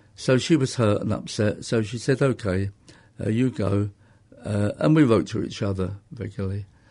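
A man with a fairly low pitch talks at a moderate pace in a dark, mellow tone that is somewhat breathy, with ordinary pitch variation over a quiet background. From North London, England. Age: 70s. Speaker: interviewee, karate teacher. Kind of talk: casual interview. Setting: studio.

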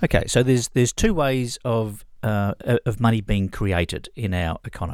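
A man's medium-pitched voice at a moderate pace, with ordinary pitch variation and hardly any pauses. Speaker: radio co-host. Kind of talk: casual chat. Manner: halting, hesitant with fillers.

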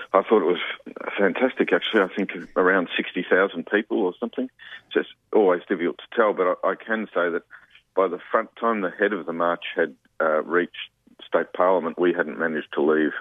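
A man with an Australian accent, his pitch very deep and low, with long, frequent pauses. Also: ordinary pitch variation, fairly quick pace. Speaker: union official. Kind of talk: radio interview.

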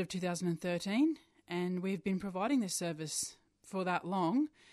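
Against a quiet background, a woman speaks at a moderate pace in a fairly low pitch, an ordinary speaking voice. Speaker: LGBTI charity chief executive. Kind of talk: radio interview. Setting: radio studio. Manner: earnest, indignant.

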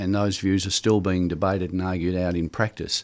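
Over a very clean recording with a silent background, a man with an Australian accent talks at a very fast pace in a fairly low pitch. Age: 60s. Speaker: unionist and cooperative member. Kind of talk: radio interview. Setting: radio studio.

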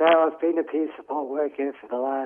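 A man speaks with an Australian accent. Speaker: peer support worker. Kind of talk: interview.

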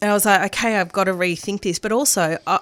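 A woman speaks in an Australian accent. The recording is very clean with a silent background and a dry, close sound with no echo. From Melbourne, Australia. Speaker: radio presenter. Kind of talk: casual interview chat. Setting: radio studio.

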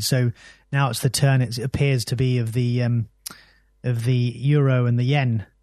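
This man has a British accent. He talks at a medium pitch. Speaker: economic cycles analyst. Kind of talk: radio interview. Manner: halting.

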